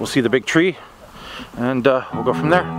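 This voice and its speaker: Noticeable background noise sits behind a man speaking at a moderate pace. The sound is dry, with no echo. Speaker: vlogger. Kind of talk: casual vlog chat. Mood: relaxed, cheerful. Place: forest. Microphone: phone near.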